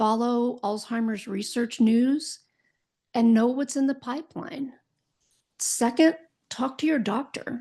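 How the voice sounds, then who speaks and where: Against a quiet background, a woman with a high pitch speaks fairly slowly, pausing long and often. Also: ordinary pitch variation. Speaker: podcast host, Alzheimer's educator and caregiver. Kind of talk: educational podcast monologue. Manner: occasionally stumbling over words.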